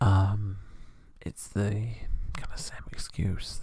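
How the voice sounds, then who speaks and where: A man is whispering. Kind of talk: asmr soft-spoken rambling talk. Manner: soft-spoken, whispering.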